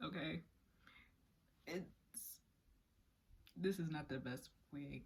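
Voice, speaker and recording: Vocal fry runs through this woman's speech. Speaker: YouTuber telling a story. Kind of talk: casual story time. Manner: halting, with pauses and repetitions.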